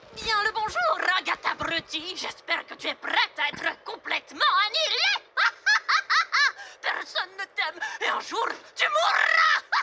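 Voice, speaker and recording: A put-on character voice with an extremely high pitch speaks with long, frequent pauses. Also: moderate pace. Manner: menacing, theatrical.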